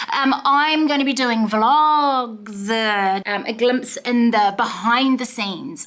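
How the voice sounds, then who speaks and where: This woman has a New Zealand accent and a fairly high voice. Her pitch varies in an ordinary way. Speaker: vlogger and tarot reader. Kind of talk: casual vlog talk to camera. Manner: animated.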